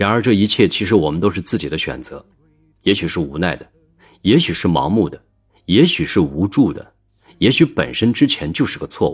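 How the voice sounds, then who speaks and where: A man talks at a moderate pace with very wide pitch swings, recorded very cleanly against a silent background. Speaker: relationship podcast host. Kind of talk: reflective monologue.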